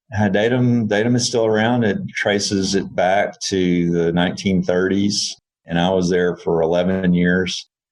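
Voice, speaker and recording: With a Texan accent, a man speaks at a moderate pace and fairly low pitch, at very even loudness with hardly any pauses. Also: fairly even intonation. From Texas. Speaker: engineering firm CEO. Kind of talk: podcast interview.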